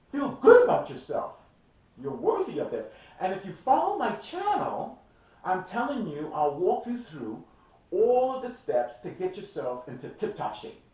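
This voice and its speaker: Noticeable background noise and audible room echo fill the recording. Through them, a man talks at a fairly slow pace. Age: 60s. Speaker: fitness trainer. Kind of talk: motivational talk to camera. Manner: animated.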